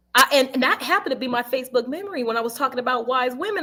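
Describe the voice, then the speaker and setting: A woman talks very fast in a high, raised, projected voice with a bright, sharp, animated tone and lively intonation. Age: 30s. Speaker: podcast guest. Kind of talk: casual chat.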